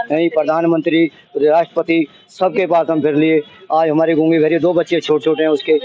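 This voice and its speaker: A man speaks in a fairly high pitch with monotone, flat intonation and very even loudness. Noticeable background noise sits behind him. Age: 60s. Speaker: complainant father. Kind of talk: testimony. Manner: halting.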